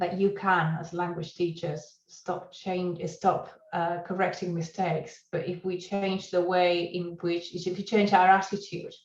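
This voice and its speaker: Audible room echo surrounds a woman's voice. She speaks at a fairly low pitch and a fairly slow pace. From Argentina. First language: Spanish. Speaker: university lecturer. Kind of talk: conference talk. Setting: conference presentation.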